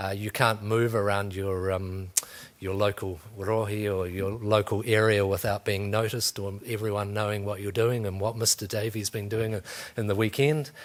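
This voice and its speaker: In a New Zealand accent, a man talks at a moderate pace with fairly low pitch. His intonation is monotone and flat. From New Zealand, North Canterbury. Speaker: museum education officer. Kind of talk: career talk to students. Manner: hesitant, many fillers.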